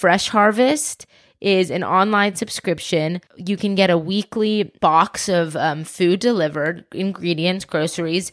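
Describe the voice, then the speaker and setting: Using an ordinary speaking voice at a medium pitch, a woman with an American accent talks at a fairly slow pace with hardly any pauses and ordinary pitch variation, in a very clean recording with a silent background. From US South, Atlanta. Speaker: private chef and food activist. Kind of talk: casual interview. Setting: in a home den, on a couch.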